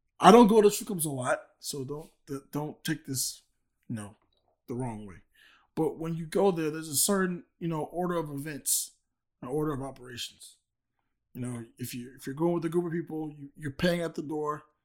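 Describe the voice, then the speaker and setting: Recorded very cleanly against a silent background, a man with a fairly high pitch and a plain, everyday voice talks at a moderate pace, with ordinary pitch variation and big swings in loudness. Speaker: sports reporter covering the team. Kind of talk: casual sports chat.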